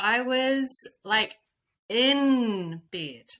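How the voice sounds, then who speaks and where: A woman speaks with a New Zealand accent and lively intonation. Her tone is bright and sharp. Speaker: intuitive coach and spiritual guide. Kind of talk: casual chat. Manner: animated.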